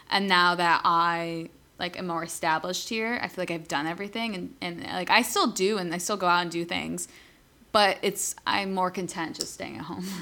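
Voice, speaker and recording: A woman with a New York accent speaks at a moderate pace in a fairly low pitch, with fairly even intonation. Her tone is bright and sharp, on a very clean recording with a silent background. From upstate New York, near Canada. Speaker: podcast co-host. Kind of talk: casual, slangy.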